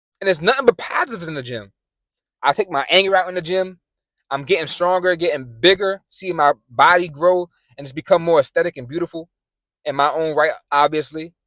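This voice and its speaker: A passionate tone comes through at a fairly quick pace in a New York accent. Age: 20s. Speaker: motivational YouTuber. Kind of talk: motivational talk to camera. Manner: fast; passionate, some stuttering.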